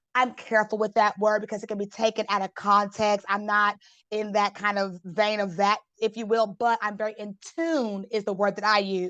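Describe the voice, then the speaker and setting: A woman's bright, sharp tone with fairly even intonation, in a dry, close sound with no echo and a quiet background. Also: medium pitch for a woman. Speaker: motivational speaker and legal consultant. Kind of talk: podcast interview. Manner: fast.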